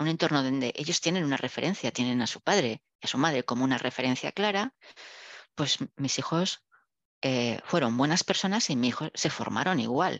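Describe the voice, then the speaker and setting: A woman's very deep, low voice at a moderate pace with lively intonation, dry and close with no echo over a quiet background. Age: 60s. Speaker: engineer and business executive. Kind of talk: interview.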